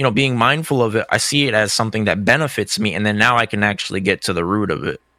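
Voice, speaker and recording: A man with an American accent speaks very fast in a bright, sharp tone with ordinary pitch variation. The sound is dry and close, with no echo. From US, Cape Verdean family. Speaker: fighting game player and content creator. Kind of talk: casual interview chat.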